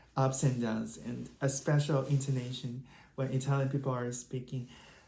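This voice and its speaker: Someone with a Chinese accent speaks at a moderate pace. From China. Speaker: language learning YouTuber. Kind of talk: tutorial. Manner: casual, hesitant with fillers.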